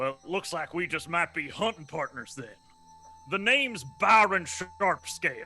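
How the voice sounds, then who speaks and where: A man does a gruff, put-on character voice at a high pitch. He keeps a moderate pace while faint music plays in the background. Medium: actual play. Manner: gruff, salty, folksy.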